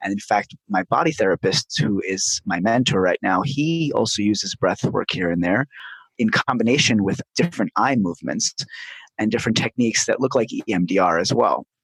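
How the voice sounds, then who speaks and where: Speaking at a fairly quick pace, a man uses a medium pitch and lively intonation. The sound is dry and close, with no echo. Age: 40s. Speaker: bodywork therapist. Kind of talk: interview, guided breathing exercise.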